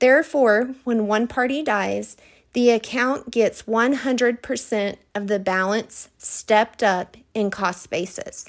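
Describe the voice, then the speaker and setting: A woman with a Texas accent, fairly high-pitched, at a fairly slow pace with ordinary pitch variation, on a very clean recording against a silent background. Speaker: financial advisor. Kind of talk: scripted presentation.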